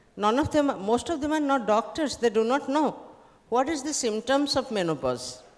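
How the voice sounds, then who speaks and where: There is noticeable background noise as a woman speaks at a moderate pace. Her pitch is high, with ordinary pitch variation. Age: 70s. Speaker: social activist. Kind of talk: panel discussion.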